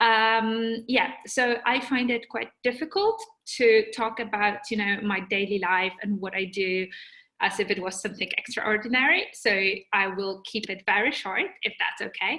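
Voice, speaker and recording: Her tone bright and sharp, a woman speaks at a moderate pace in a fairly high pitch with ordinary pitch variation. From Poland. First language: Polish. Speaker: journalist. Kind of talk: webinar talk. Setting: video call. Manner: halting, with fillers and repetitions.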